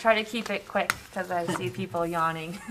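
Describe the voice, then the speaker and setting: Noticeable background noise behind a woman's voice of ordinary pitch variation. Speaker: planning consultant. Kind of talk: presentation in public meeting. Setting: township planning board meeting.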